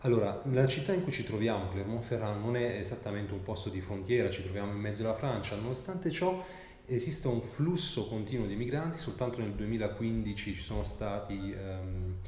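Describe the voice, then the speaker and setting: Fairly low-pitched man with an Italian accent and lively intonation at a moderate pace, amid audible room echo and noticeable background noise. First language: Italian (speaking French). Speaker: interviewer and translator. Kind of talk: interview. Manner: halting.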